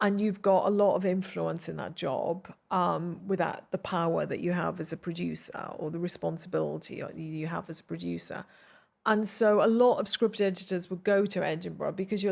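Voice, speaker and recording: Speaking with a Welsh accent, a woman keeps a moderate pace. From South Wales (Glynneath). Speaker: television producer. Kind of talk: interview conversation.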